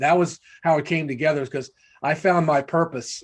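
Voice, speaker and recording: A man with an American accent has a normal speaking voice, a fairly high pitch and ordinary pitch variation. He talks at a fairly quick pace against a quiet background. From United States. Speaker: author and resilience speaker. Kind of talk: panel discussion.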